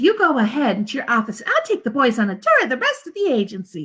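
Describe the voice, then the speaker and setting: Using a put-on character voice, a woman speaks very fast at a high pitch with very wide pitch swings. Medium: read story.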